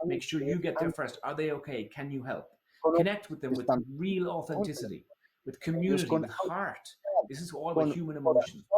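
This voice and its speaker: Speaking in an Irish accent, a man has an animated tone, a fairly high pitch, ordinary pitch variation and a fairly quick pace. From Ireland. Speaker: keynote speaker on consumer behaviour. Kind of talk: conference talk. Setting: online event. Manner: fast.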